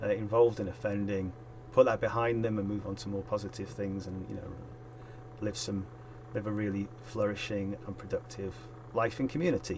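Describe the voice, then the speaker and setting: A man speaks quietly at a moderate pace. Background noise is noticeable. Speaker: youth work consultant and streamer. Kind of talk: casual solo stream talk. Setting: live stream. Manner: quiet, trying to speak up. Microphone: quiet microphone.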